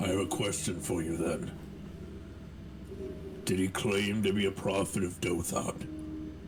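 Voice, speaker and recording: A man's put-on character voice at a very deep, low pitch and a fairly slow pace, with long, frequent pauses over loud background noise. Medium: actual play. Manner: formal, polite.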